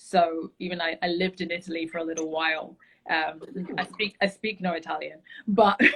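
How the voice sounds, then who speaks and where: Someone with a London accent talks at a fairly quick pace with fairly even intonation. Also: woman, fairly low pitch for a woman. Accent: British (London). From London, England. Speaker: travel enthusiast, beauty brand founder. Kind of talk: casual interview chat.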